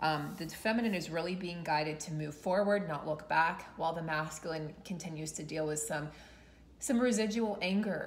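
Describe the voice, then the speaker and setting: A woman speaks at a moderate pace with an unremarkable speaking voice. Her pitch is fairly low, with ordinary pitch variation. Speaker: tarot reader. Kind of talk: tarot reading vlog talk. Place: home room. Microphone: phone near.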